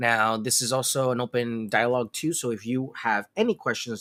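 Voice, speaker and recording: A loud man speaks at a moderate pace in a bright, sharp tone at medium pitch. The sound is dry and close with no echo, in a very clean recording with a silent background. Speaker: realtor. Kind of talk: live Q&A stream. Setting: livestream with chat. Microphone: no microphone, room sound.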